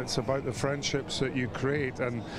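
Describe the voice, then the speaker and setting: With a Scottish accent, a man speaks at a medium pitch with fairly even intonation over noticeable background noise. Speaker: former rugby player. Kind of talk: interview.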